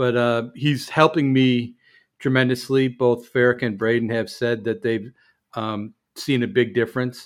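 With a normal speaking voice, a man talks at a fairly slow pace and medium pitch, his intonation fairly even. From US Midwest, Chicago. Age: 50s. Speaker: podcast co-host, firefighter. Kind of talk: casual chat.

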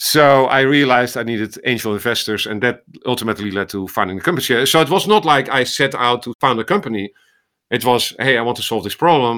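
In a very clean recording with a silent background, a man talks very fast with a Dutch accent. His tone is bright and sharp, at a medium pitch. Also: ordinary pitch variation. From Netherlands. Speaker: ophthalmologist and medical AI researcher. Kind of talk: interview conversation.

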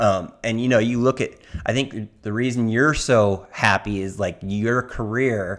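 A man with a Southern California accent speaks at a medium pitch and a moderate pace. His pitch varies in an ordinary way, and the recording is very clean with a silent background. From US West Coast. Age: 50s. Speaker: surfer and surf magazine editor. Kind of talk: casual chat.

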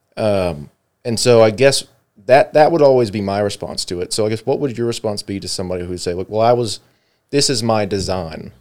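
This speaker talks at a fairly quick pace with an American accent. It is an unremarkable speaking voice. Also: man. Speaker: podcast host. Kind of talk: casual chat. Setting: studio.

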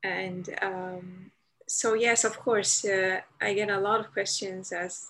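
In a Dutch accent, a woman speaks at a medium pitch with monotone, flat intonation and a bright, sharp tone. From Netherlands, Amsterdam. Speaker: convert guest. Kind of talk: casual chat. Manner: halting.

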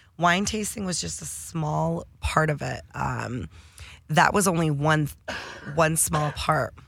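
A woman speaks with a Midwestern American accent. Her pace is very slow. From Detroit, Michigan. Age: 30s. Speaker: cannabis entrepreneur and sommelier. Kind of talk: casual interview. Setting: studio.

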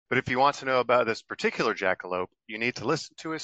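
A man with a medium pitch talks at a very fast pace, his intonation lively. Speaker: narrator. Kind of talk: scripted narration.

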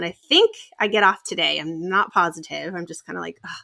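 A woman talks at a moderate pace. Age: 30s. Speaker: podcaster guest. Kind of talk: casual interview chat.

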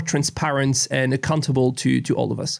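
A man with a French accent at a moderate pace. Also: very clean recording, silent background. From France. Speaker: law professor. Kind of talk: interview.

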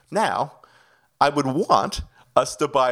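A man with a slight Canadian accent talks at a fairly high pitch. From Canada (Ontario). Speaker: executive pastor and video director. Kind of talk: interview.

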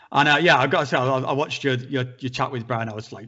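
A man speaks in a northern English accent. His pace is very fast and his intonation fairly even. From northern England. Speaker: psychedelics YouTuber. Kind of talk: casual chat.

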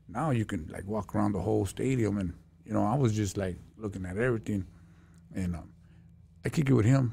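A man with a fairly low pitch and ordinary pitch variation speaks in a dark, mellow, somewhat breathy voice, leaving long, frequent pauses. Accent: American. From Los Angeles (Lincoln Heights). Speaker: former prisoner turned counselor. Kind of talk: casual interview. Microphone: too far from mic.

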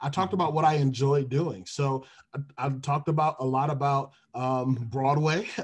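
A somewhat breathy voice with an American accent, speaking at a moderate pace with fairly even intonation. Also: man, fairly high pitch for a man. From Detroit, US Midwest. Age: 20s. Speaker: HR recruiter and music minister. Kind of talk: podcast interview.

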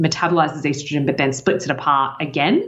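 Someone with an Australian accent talks at a fairly quick pace over noticeable background noise. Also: woman. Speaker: health podcast co-host. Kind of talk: casual chat. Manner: quiet; fast.

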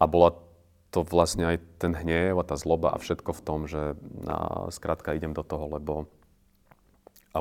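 A man speaks at a moderate pace in a very deep, low voice. His intonation is monotone and flat, and the recording is very clean with a silent background. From Slovakia, Orava region (Námestovo). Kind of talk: casual interview.

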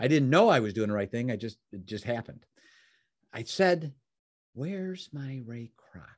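With an American accent, a man speaks at a medium pitch and a moderate pace, using lively intonation. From Chicago, US Midwest. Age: 60s.

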